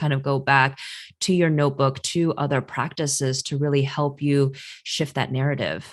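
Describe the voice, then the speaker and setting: With an American accent, a woman speaks at a very deep, low pitch. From Chinese immigrant family. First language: Chinese. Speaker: career astrologer, podcast host. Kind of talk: casual interview chat. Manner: animated.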